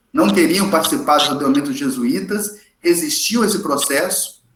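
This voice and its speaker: In a high pitch with very wide pitch swings, a man speaks in an animated tone as audible room echo rings around him. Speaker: history teacher. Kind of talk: lecture. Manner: fast.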